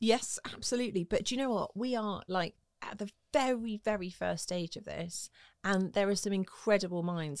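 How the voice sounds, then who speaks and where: A woman with a southern English accent speaks with lively intonation. The sound is dry and close with no echo, on a very clean recording with a silent background. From southwest London, England. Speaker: motorsport TV presenter. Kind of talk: interview.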